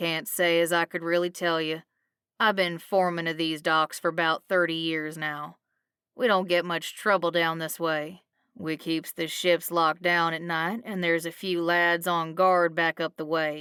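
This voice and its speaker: A woman growls in a put-on character voice, fairly low-pitched and flat in intonation, at a moderate pace over a very clean recording with a silent background. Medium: read story. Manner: blunt, folksy, gruff.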